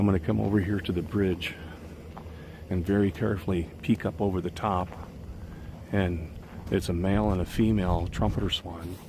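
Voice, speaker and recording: Very deep and low in pitch, a man talks at a moderate pace with a somewhat breathy voice. He uses ordinary pitch variation and takes long, frequent pauses. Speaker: nature vlogger. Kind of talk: outdoor vlog narration. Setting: outdoors by a river. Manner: quiet, hushed.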